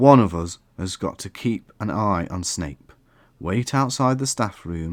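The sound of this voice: Intonation moves in a lively way as the speaker reads in an unforced voice.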